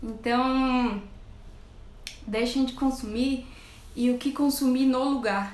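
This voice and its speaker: A woman speaks at a high pitch in an animated tone and a fairly slow pace. Audible room echo surrounds her voice. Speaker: nutritionist. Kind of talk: live stream talk.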